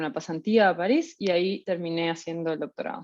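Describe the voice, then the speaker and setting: A woman with a Uruguayan accent talks at a moderate pace and medium pitch. Her pitch varies in an ordinary way, and the background is quiet. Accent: Rioplatense Spanish (Uruguayan). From Uruguay, Montevideo. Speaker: researcher. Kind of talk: lecture. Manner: hesitant, many fillers.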